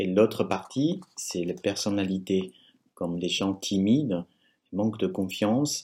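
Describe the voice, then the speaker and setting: Very slow speech with a Chinese accent and lively intonation, in a very clean recording against a silent background. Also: man. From China. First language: Chinese (speaking French). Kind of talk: religious teaching talk with testimony. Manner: halting.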